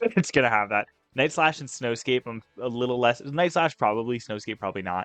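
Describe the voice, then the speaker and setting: Music plays in the background as a man talks at a fairly quick pace and medium pitch, the sound dry and close with no echo. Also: ordinary pitch variation. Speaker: gaming YouTuber. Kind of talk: video game tutorial. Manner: fast; casual, many filler ums.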